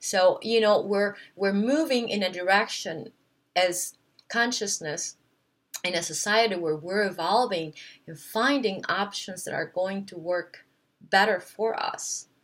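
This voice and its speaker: A woman with a non-native accent speaks at a fairly slow pace and a medium pitch, with ordinary pitch variation and big swings in loudness. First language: not English. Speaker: wellness vlogger. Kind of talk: casual monologue to camera. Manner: hesitant, many fillers.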